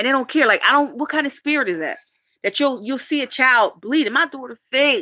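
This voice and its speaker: Raised and projected, a woman's high, bright, sharp voice moves at a fairly quick pace with lively intonation and an animated tone. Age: 40s. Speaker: vlogger, parent in a custody dispute. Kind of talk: emotional live-stream rant.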